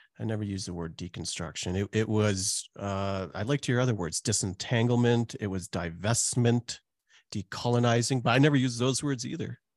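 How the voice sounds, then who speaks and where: In a normal speaking voice, a man with a Canadian accent talks at a fairly quick pace with a medium pitch and ordinary pitch variation. The sound is dry and close with no echo, over a quiet background. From Calgary, Canada. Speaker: pastor and author. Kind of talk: casual interview chat.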